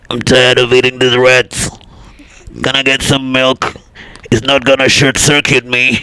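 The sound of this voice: In a put-on robotic character voice, a man talks at a moderate pace with a flat, monotone delivery and long, frequent pauses. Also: medium pitch for a man.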